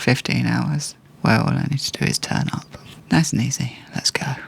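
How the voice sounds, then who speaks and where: A man whispering with an English accent at a moderate pace, over noticeable background noise. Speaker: vlogger and freelance property photographer. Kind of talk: vlog narration to camera. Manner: quiet.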